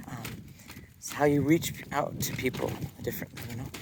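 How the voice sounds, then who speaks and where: Mumbling with ordinary pitch variation, a man speaks over noticeable background noise. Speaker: dancer and vlogger. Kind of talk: casual vlog monologue. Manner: mumbling, halting with fillers.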